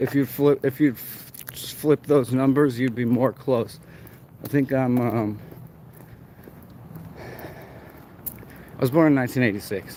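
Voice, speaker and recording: Mumbling with an American accent, the speaker goes at a very slow pace with fairly even intonation and long, frequent pauses over noticeable background noise. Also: man, medium pitch for a man. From Arizona, US. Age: 30s. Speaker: livestreamer. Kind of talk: walking livestream commentary. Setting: outdoors, walking downtown at night.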